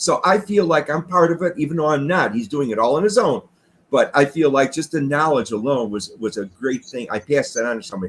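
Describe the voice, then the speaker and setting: This man talks very fast, his fairly high pitch making very wide swings. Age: 60s. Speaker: retired garage door business owner. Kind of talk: interview. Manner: halting.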